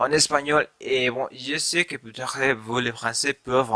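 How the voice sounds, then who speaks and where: A man talks very slowly in a Spanish accent, his tone bright and sharp and his intonation fairly even. The sound is dry and close, with no echo. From Mexico. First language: Spanish (speaking French). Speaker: language learner vlogger. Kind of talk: casual vlog talk. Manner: halting, many fillers.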